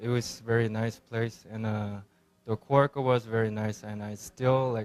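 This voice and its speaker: A man with a Korean accent speaks at a moderate pace. His pitch is medium and his intonation monotone and flat. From South Korea. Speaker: restaurant owner and chef. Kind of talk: interview. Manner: halting, many fillers.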